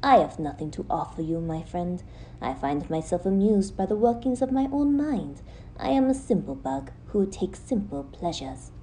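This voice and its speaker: With clear background noise, a female-sounding put-on character voice at a middle pitch speaks at a moderate pace. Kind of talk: audio drama narration. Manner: courteous, easy-going.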